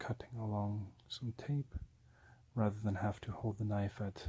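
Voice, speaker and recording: Soft-spoken and somewhat breathy, a man talks at a moderate pace in a fairly low pitch, his tone dark and mellow and his intonation monotone and flat. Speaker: ASMR creator. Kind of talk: ASMR product review.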